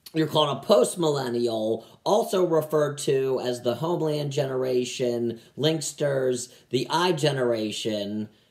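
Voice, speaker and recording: This man has an ordinary speaking voice at a medium pitch. He talks at a fairly slow pace. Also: ordinary pitch variation. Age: 30s. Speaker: stand-up comedian. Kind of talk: stand-up.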